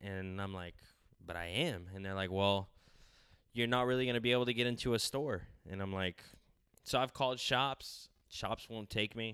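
A man with an American accent, fairly low in pitch, bright and sharp in tone, at a moderate pace with long, frequent pauses and ordinary pitch variation, on a very clean recording with a silent background. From California. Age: 20s. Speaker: clothing designer. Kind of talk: casual interview.

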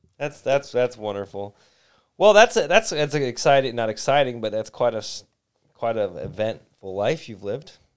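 Here a man talks in a Midwestern American accent at a medium pitch. His intonation is lively, and his loudness swings widely. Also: moderate pace. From Detroit. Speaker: podcast host. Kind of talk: casual chat.

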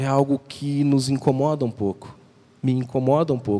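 A man's fairly high voice unfolds at a fairly slow tempo. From southern Brazil, Porto Alegre. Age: 30s. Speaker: visiting preacher. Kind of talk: sermon. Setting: church.

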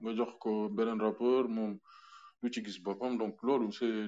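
At a very slow pace, a man talks with medium pitch for a man. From Senegal (Dakar and Thiès). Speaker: music producer. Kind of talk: interview.

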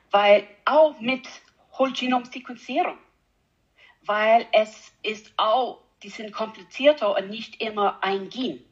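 With an English accent, a woman speaks very slowly in a fairly high voice, using long, frequent pauses, ordinary pitch variation, and big shifts in loudness. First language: English (speaking German). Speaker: animal geneticist. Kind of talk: interview. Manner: halting, hesitant non-native German.

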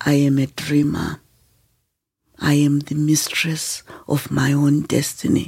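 A woman with a very deep, low voice speaks very slowly in a flat monotone, somewhat breathy, with long, frequent pauses. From Zimbabwe, rural north. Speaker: author and women's education advocate. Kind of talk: interview storytelling.

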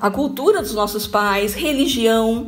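With audible room echo and noticeable background noise, a woman speaks at a fairly slow pace using lively intonation. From Brazil, Bauru (São Paulo state). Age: 50s. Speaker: corporate trainer and HR consultant. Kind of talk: radio talk show interview. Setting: radio studio.

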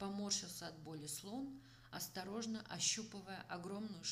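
The natural reading voice shows ordinary pitch variation.

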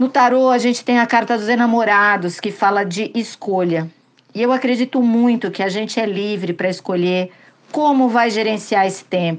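A woman with a plain, everyday voice speaks at a moderate pace, her fairly high pitch moving with ordinary variation. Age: 50s. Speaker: listener sending voice message. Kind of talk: recorded testimony.

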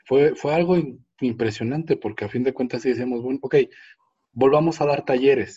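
His tone is dark, mellow and somewhat breathy, at medium pitch. The man keeps a moderate pace with ordinary pitch variation. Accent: Mexican. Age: 40s. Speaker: motivational speaker and trainer. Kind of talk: interview.

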